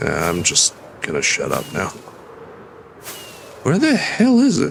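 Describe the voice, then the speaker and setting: A man talks fairly slowly with noticeable background noise behind him. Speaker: vtuber streamer. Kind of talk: casual gaming stream commentary.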